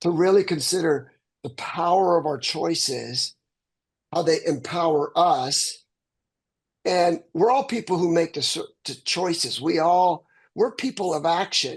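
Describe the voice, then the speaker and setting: A high-pitched man at a fairly slow pace against a quiet background. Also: ordinary pitch variation. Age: 60s. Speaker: real estate agent in coaching group. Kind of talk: group video call discussion. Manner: halting, repeats words.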